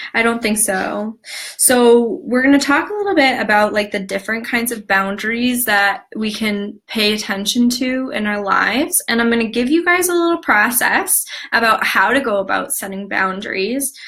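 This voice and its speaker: A woman with a fairly high pitch and lively intonation talks against noticeable background noise. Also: moderate pace. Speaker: wellness coach teaching an online class. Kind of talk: live-streamed class. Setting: live video stream.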